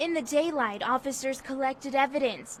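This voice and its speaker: In an American accent, a woman speaks at a high pitch and a moderate pace with ordinary pitch variation, over noticeable background noise. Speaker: television news reporter and anchor. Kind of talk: recorded news package voiceover.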